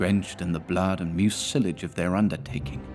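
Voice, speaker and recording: A man at a moderate pace, with music playing in the background. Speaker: narrator. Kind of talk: video game lore narration.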